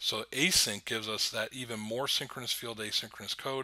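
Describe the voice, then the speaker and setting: On a very clean recording with a silent background, a man speaks at a medium pitch with a bright, sharp tone and ordinary pitch variation. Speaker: university lecturer. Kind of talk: recorded lecture. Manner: fast; many fillers (um, uh).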